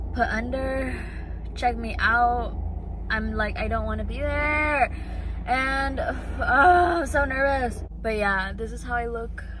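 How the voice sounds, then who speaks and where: Very slow speech with a dry, echo-free sound and light background noise. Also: woman. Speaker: vlogger. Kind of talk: casual vlog chat. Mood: nervous, anxious but chatty. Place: car. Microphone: phone near.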